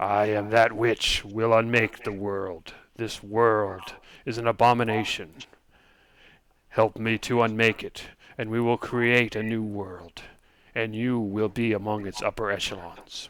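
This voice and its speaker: In a put-on character voice, a man speaks at medium pitch, gravelly and monotone with flat intonation, at a fairly slow pace in a very clean recording with a silent background. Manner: menacing, commanding.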